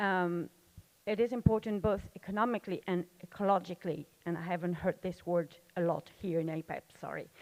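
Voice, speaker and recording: The sound is dry and close with no echo as a woman with a French accent speaks at a moderate pace. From France. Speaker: audience member asking a question. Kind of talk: audience question at panel. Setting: conference session with audience. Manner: halting.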